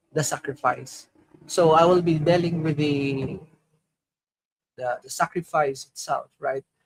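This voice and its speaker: Fairly high in pitch, a man speaks at a fairly slow pace with fairly even intonation, in a dry, close sound with no echo. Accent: Filipino. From Philippines. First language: Filipino. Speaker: crypto streamer. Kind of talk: conference panel talk. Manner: halting.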